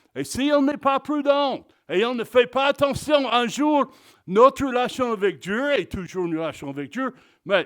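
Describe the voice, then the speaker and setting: This man talks fairly slowly in an extremely high voice, with lively intonation. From Texas. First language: English (speaking French). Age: 60s. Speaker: pastor. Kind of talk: sermon. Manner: halting, repeats words.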